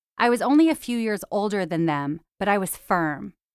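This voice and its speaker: A woman's normal speaking voice, medium in pitch, with lively intonation at a moderate pace, on a very clean recording with a silent background. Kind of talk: elder life story, reflective personal memoir narration. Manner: warm, nostalgic, measured; proud, sincere, plainspoken.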